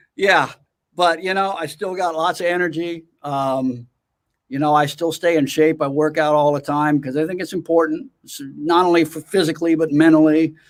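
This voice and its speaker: On a very clean recording with a silent background, an ordinary speaking voice with an American accent moves at a moderate pace with fairly even intonation. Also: man, fairly high pitch for a man. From US West Coast, California (Oakland). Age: 60s. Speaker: drummer and educator. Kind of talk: interview.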